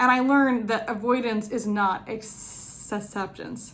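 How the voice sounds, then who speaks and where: Audible room echo colors the voice of a woman speaking with vocal fry. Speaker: person who stutters, speaking on stuttering acceptance. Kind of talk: interview answer. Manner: repetitions and blocks on sounds.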